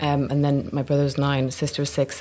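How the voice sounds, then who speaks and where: A woman's very deep, low voice in a Dublin accent at a very fast pace, over noticeable background noise. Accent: Dublin accent, kept. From Ireland, Dublin. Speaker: actor. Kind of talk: casual interview chat. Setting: cafe in Soho.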